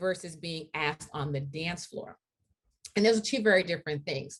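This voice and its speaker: Lively intonation marks a woman's speech, which is somewhat breathy. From US, Haitian immigrant household. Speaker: diversity and equity speaker. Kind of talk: lecture.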